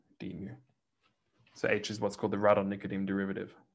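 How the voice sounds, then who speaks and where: A man with a fairly low pitch and fairly even intonation against a quiet background. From Australia. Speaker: mathematics lecturer. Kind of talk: lecture. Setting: online lecture, church bell audible in background. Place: home room.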